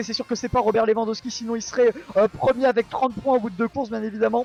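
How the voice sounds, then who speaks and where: This man's voice sits high and moves at a very fast pace with fairly even intonation. The sound is dry and close with no echo, though background noise is noticeable. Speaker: esports commentator. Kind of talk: live commentary. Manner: halting.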